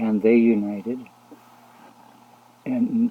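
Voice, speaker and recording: A soft-spoken man talks at a very slow pace. His intonation is monotone and flat. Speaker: religious video blogger. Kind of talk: casual religious monologue. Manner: halting.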